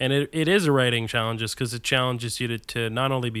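An unremarkable speaking voice with an American accent and ordinary pitch variation, recorded very cleanly against a silent background. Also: man. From New Jersey. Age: 30s. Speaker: stand-up comedian. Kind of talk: casual chat.

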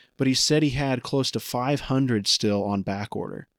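A man with an American accent speaks in an ordinary speaking voice at medium pitch and a moderate pace, with ordinary pitch variation, on a very clean recording with a silent background. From Indiana. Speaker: podcast host. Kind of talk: interview.

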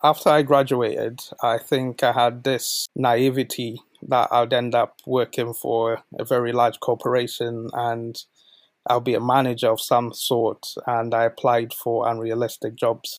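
A man speaks at a medium pitch and a fairly slow pace, his intonation monotone and flat. The recording is very clean with a silent background, and the sound is dry and close with no echo. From Zambia, moved to UK at 12. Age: 20s. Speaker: volunteer coordinator. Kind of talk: interview.

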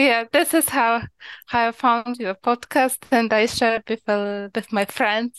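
Against a quiet background, a woman with a Ukrainian accent speaks at a fairly slow pace with a fairly high pitch and fairly even intonation, the sound dry and close with no echo. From Ukraine, small village. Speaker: podcast listener calling in. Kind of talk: call-in interview. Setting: remote call. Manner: halting, many hesitations.

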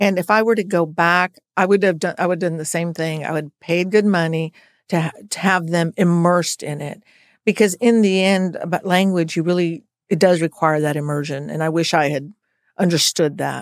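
A woman with an American accent and a normal speaking voice, fairly low in pitch, at a moderate pace with fairly even intonation, in a dry, close sound with no echo on a very clean recording with a silent background. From US, military family, Colorado and Texas. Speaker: lawyer, legal nonprofit director. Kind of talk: interview conversation.

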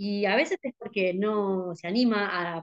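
This woman has an unremarkable speaking voice at a medium pitch with ordinary pitch variation, recorded with a dry, close sound and no echo. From Buenos Aires province, Argentina. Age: 40s. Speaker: visually impaired skater. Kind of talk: interview conversation. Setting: video call.

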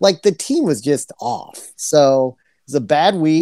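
A man with an ordinary speaking voice and a fairly high pitch speaks with lively intonation in a very clean, dry, close recording with a silent background and no echo. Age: 40s. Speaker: podcast host. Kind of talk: casual chat.

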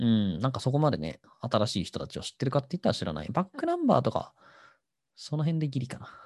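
A man talks at a very fast pace in a medium pitch, somewhat breathy, with very wide pitch swings and big swings in loudness. The sound is dry and close, with no echo. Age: 30s. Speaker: podcast host. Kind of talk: casual solo talk.

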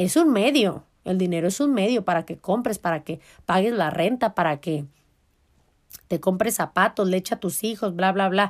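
In a Mexican accent, a woman speaks in an animated tone with lively intonation on a very clean recording with a silent background. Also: medium pitch for a woman, moderate pace. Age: 30s. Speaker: podcast host. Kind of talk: casual self-help monologue.

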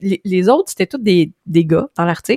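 A woman's voice in a Quebec accent, with very wide pitch swings and a dry, close sound with no echo. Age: 30s. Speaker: digital marketing expert. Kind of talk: casual chat.

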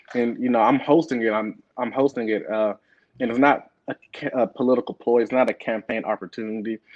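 In a plain, everyday voice with an American accent, a man talks fairly quickly at a medium pitch, his intonation fairly even. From Beaumont, Texas. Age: 20s. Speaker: state house candidate. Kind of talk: interview.

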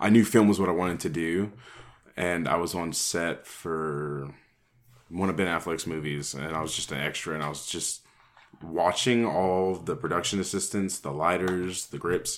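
A man speaks at a moderate pace with ordinary pitch variation. His pitch is very deep and low. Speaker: podcast host. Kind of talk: casual interview.

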